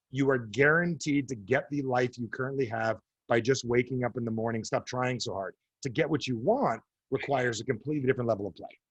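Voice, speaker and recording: Somewhat breathy, a man with a New Jersey accent speaks very fast at a medium pitch with ordinary pitch variation. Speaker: author and coach. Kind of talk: interview. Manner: animated.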